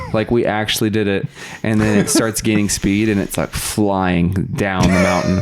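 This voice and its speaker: A man with a Californian accent, fairly low in pitch, at a moderate pace with fairly even intonation and very even loudness, over noticeable background noise. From US West, Sacramento area (Roseville, California). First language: Russian. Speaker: podcast guest. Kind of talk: casual chat.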